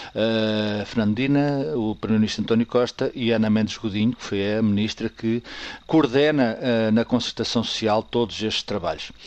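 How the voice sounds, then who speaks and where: Fairly even intonation marks this man's ordinary speaking voice at a medium pitch. He talks at a moderate pace. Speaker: political commentator. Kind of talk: radio commentary.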